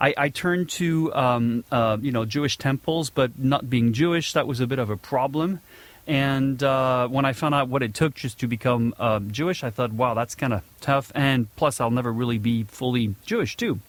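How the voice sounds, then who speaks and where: On a very clean recording with a silent background, a man speaks with a slight French accent and ordinary pitch variation. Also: medium pitch for a man, moderate pace. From southern France, Nice. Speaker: podcast host. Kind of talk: casual monologue. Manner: hesitant, many fillers.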